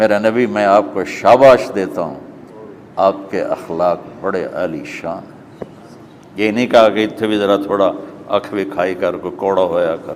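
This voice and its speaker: A man's fairly low pitch and fairly even intonation over noticeable background noise. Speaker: Islamic scholar. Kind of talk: religious sermon.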